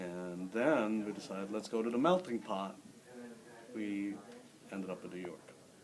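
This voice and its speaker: With noticeable background noise behind him, a man at fairly low pitch speaks with ordinary pitch variation, big swings in loudness, and long, frequent pauses. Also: moderate pace. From Philippines, Manila. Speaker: immigrant interviewee, former English teacher. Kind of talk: interview.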